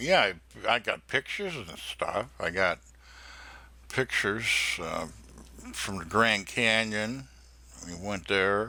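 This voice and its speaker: With an upstate New York accent, a man speaks at a very slow pace in a bright, sharp tone, leaving long, frequent pauses as his loudness swings widely. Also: fairly low pitch for a man, ordinary pitch variation. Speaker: scam baiter. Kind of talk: phone call with scammer, playing naive caller.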